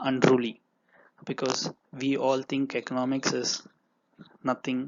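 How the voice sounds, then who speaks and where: A man speaks with a Tamil accent. His pitch is medium and his pace fairly slow. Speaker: online teacher and entrepreneur. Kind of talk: lecture. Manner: halting.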